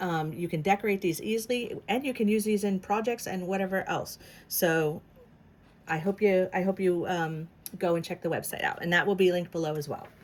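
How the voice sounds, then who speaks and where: Her voice sits at a medium pitch, and this woman's pitch variation is ordinary. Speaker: crafter and design team member. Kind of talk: tutorial. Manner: fast; halting, many fillers.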